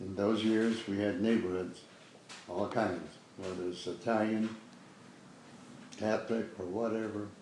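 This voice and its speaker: In a Chicago accent, a man speaks at a moderate pace with monotone, flat intonation and a fairly low pitch. Room echo is audible. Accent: Chicago American English. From US Midwest, Chicago west side. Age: 90s. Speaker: war veteran. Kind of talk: oral history interview. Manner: halting.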